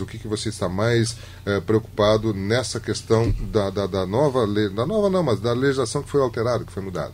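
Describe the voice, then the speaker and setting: A man speaks at a medium pitch. He has an unremarkable speaking voice. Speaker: radio host. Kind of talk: radio interview.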